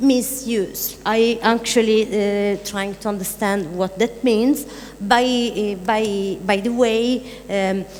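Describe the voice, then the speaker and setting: With noticeable background noise, a woman speaks at a fairly high pitch and with fairly even intonation. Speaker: artist discussing a media project. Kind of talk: panel discussion. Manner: halting, many fillers.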